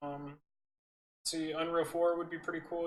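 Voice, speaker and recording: A man's fairly high, relaxed voice at a moderate pace, with monotone, flat intonation. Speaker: art tutorial youtuber. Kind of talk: tutorial. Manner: casual, relaxed.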